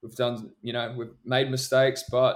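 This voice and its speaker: A man with a New Zealand accent, medium in pitch, monotone and flat in intonation, at a moderate pace. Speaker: DJ and music producer. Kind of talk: casual interview.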